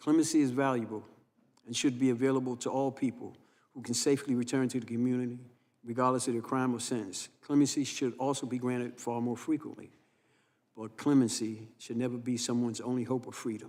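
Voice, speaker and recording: A man with an American accent speaks very fast at a medium pitch, his intonation monotone and flat. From New York City (Harlem). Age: 60s. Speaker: criminal justice advocate, former prisoner. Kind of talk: congressional testimony.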